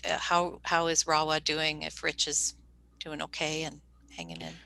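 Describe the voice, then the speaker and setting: Against a quiet background, a woman with a Canadian accent talks at a moderate pace in a very deep, low pitch with vocal fry. Her tone is bright and sharp, and her intonation is monotone and flat. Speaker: panel moderator. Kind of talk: panel Q&A.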